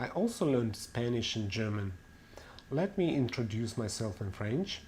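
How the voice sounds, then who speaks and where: A man with a Russian accent sounds somewhat breathy, his intonation lively. Audible room echo fills the recording. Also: medium pitch for a man, moderate pace. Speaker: language teacher. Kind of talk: webinar lecture.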